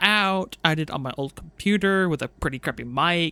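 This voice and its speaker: The recording is very clean, with a silent background. Delivery is at a moderate pace. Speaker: VTuber streamer. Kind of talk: casual solo monologue. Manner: rambling, halting with fillers. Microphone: new cleaned-up microphone.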